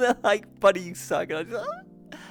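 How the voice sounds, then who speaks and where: Someone with a strong London accent talks while music plays in the background. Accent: thick London. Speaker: VR talk show host. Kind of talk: live-streamed talk show intro. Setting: VR studio, live stream.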